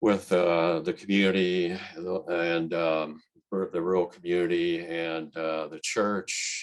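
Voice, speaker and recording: Very deep and low in pitch, a man speaks with a Midwestern American accent in a monotone, flat intonation. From central Illinois. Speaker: transportation engineer and poet. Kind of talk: interview answer. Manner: soft-spoken, clear.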